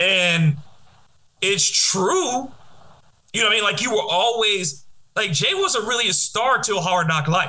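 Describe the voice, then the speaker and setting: Over noticeable background noise, a man with an American accent uses a raised, projected, high-pitched voice, speaking at a fairly slow pace with long, frequent pauses, lively intonation and very even loudness. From Detroit. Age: 40s. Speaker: podcast host, radio host. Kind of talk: casual chat.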